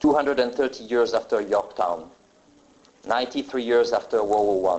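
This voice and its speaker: A man is speaking. He has a French accent. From France. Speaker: military pilot. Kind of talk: formal ceremony speech.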